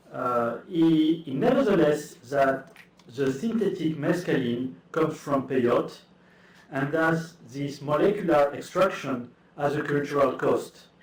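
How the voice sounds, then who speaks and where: Noticeable background noise and audible room echo surround a man's fairly high-pitched voice. He talks at a fairly slow pace. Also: ordinary pitch variation. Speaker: academic speaker. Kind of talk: conference talk. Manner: halting.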